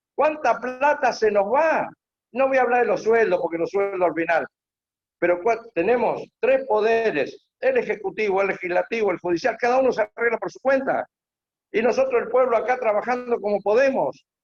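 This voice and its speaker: An animated man speaks at an extremely high pitch. His pitch variation is ordinary. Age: 70s. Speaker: panelist, former political candidate. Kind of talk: panel talk.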